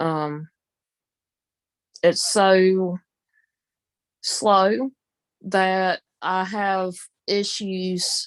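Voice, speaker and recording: A woman's medium-pitched voice has fairly even intonation and a dry, close sound with no echo over a quiet background. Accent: Southern. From US South. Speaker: live streamer. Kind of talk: casual chat. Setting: live stream, audio only.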